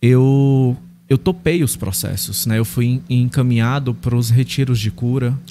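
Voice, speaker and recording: A somewhat breathy voice with a dark, mellow tone over light background noise. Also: man. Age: 30s. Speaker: pastor. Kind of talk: interview testimony. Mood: earnest, personal storytelling. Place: studio. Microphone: studio mic.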